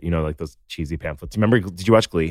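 A man with an American accent speaks in a very deep, low pitch. His pitch varies in an ordinary way. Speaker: TikTok content creator. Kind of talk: casual chat, podcast interview.

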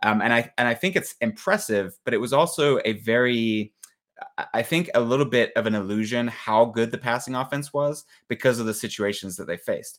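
A man's plain, everyday voice at a fairly quick pace, medium pitch and ordinary pitch variation. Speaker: podcast co-host, analyst.

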